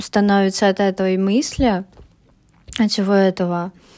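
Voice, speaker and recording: A woman with a medium-pitched voice takes a fairly slow pace. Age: 20s. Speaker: podcaster, university student. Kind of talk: personal monologue podcast. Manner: halting, many filler sounds.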